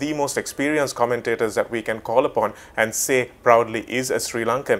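Ordinary pitch variation at a fairly quick pace. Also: man. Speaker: sports website host / interviewer. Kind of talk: interview question. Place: studio. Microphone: lapel.

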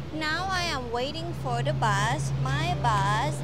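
Dry sound with no echo, with music in the background. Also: woman. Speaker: travel vlogger. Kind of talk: casual vlog chat. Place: street. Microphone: lapel.

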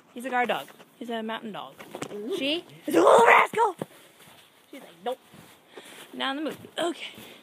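At a fairly quick pace with big swings in loudness, the speech has a dry sound with no echo and noticeable background noise. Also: woman. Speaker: vlogger. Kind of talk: casual vlog chat. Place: garden. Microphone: phone near.

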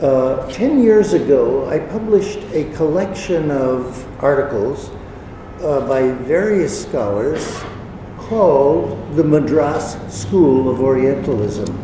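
A man talks very slowly while noticeable background noise and audible room echo fill the recording. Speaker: visiting lecturer. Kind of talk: lecture. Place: hall. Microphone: podium.

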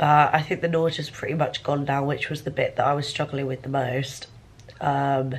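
In a tired tone, a woman with a very deep, low pitch speaks at a moderate pace with monotone, flat intonation. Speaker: university student vlogger. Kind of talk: casual vlog chat. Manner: blocked-nose, tired sick voice. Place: home room. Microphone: phone near.

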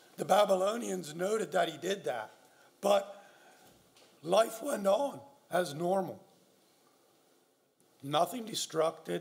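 A man speaks at a very slow pace. His voice is high-pitched. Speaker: minister. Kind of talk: sermon. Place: church. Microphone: podium.

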